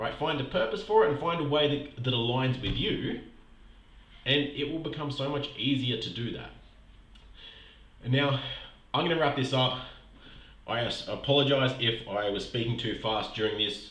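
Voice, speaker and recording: A man with an Australian accent speaks with long, frequent pauses and ordinary pitch variation. Room echo is audible. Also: medium pitch for a man, moderate pace. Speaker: podcast host and health coach. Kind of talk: motivational podcast monologue. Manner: breathless, like walking uphill.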